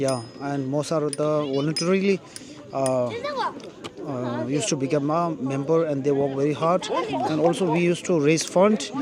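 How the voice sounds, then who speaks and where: Crowd noise fills the background as a man speaks with a Tibetan accent. His pitch is fairly high, his pace moderate and his pitch variation ordinary. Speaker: vlogger. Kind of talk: interview answer.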